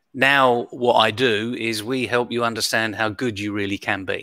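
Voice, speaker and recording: Recorded very cleanly over a silent background, a man with a British accent speaks at a medium pitch in a bright, sharp tone with fairly even intonation. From United Kingdom. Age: 60s. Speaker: leadership coach and keynote speaker. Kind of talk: interview.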